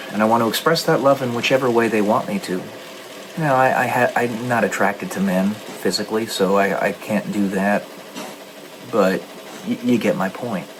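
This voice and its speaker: Noticeable background noise sits behind this voice. A man speaks at medium pitch and a moderate pace. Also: ordinary pitch variation. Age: 30s. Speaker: gaming streamer and author. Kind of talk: casual monologue during a game stream. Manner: halting.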